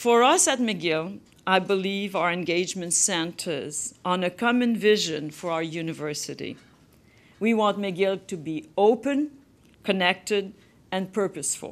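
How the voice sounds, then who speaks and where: A woman with a French Canadian accent speaks at a fairly slow pace. Her intonation is lively. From Quebec. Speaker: university principal. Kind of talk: formal address then audience Q&A. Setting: stage with audience, webcast. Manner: formal. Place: hall. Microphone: podium.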